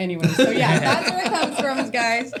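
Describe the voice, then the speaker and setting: Amid noticeable background noise and audible room echo, a woman with an American accent talks at a fairly quick pace with lively intonation. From Bay Area, California (Vallejo). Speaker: glass artist. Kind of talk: interview.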